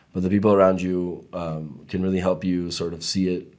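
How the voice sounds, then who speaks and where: A man with a Spanish accent speaks at a fairly quick pace. His voice is very deep and low. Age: young. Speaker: podcast guest, immigrant to Israel. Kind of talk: casual interview chat.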